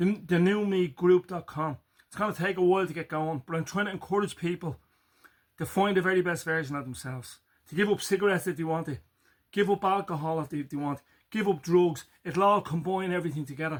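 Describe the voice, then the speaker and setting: In a Dublin accent, a man talks at a very fast pace and a high pitch. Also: ordinary pitch variation. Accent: Irish (Dublin). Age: 50s. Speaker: farmer and health vlogger. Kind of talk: casual motivational vlog.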